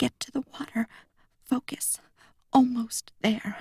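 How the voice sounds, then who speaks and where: A woman's fairly slow, fairly even delivery in a dry, close sound with no echo. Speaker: audiobook narrator. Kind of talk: audiobook narration, first-person teen character.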